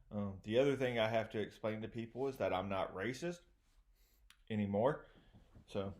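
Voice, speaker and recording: A man speaks with a Southern US accent. His pitch rises and falls in an ordinary way. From US South, East Texas. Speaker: comedian. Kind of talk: stand-up. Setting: remote video show.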